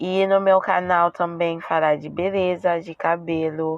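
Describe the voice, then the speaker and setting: Her voice is very deep and low. The woman speaks very slowly in a flat monotone. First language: French (speaking Portuguese). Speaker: beauty and weight-loss vlogger. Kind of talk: casual vlog talk. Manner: halting, with self-corrections.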